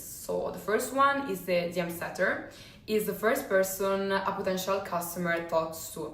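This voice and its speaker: Against noticeable background noise and audible room echo, a woman with a non-native accent speaks at a medium pitch. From Italy, Rome. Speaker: sales coach. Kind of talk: personal story monologue. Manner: hesitant, many fillers.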